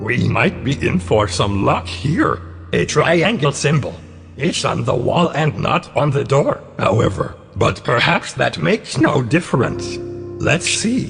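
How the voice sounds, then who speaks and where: Over clear music in the background, a man does a put-on character voice. He speaks at a medium pitch and a fairly slow pace. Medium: audio drama. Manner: measured, formal.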